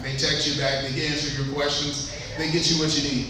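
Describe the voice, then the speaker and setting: A man with an American accent speaks with fairly even intonation, with audible room echo and noticeable background noise. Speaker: real estate agent. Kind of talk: conference talk. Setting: event room with audience, microphone. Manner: soft-spoken.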